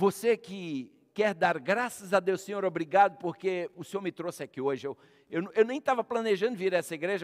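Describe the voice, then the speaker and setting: Against a quiet background, a man speaks very fast with lively intonation. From Brazil. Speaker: pastor; pastor preaching. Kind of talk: sermon. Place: church.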